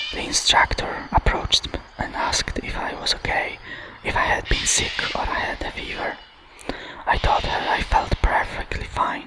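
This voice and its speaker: Someone whispers at a moderate pace with a Polish accent. Noticeable background noise sits behind the voice. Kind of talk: ASMR book reading. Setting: outdoors. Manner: whispered.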